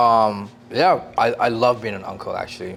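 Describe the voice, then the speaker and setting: Music runs in the background while a man talks at a moderate pace. His pitch is fairly low and he has a Canadian accent. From Toronto, Canada (Sri Lankan Tamil immigrant family). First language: Tamil. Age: 40s. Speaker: hairstylist and barber. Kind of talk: casual interview chat.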